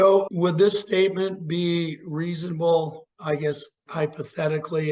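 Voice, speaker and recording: A man's plain, everyday voice at a fairly slow pace with fairly even intonation. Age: 60s. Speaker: podcast host. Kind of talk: podcast interview. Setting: podcast.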